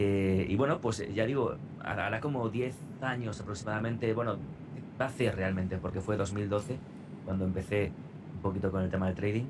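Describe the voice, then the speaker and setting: A man speaks at a fairly low pitch and moderate pace, with ordinary pitch variation and very even loudness. Long, frequent pauses break his speech, and audible room echo surrounds it. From Spain, Navarre (Pamplona). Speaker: radio announcer and trader. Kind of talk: interview.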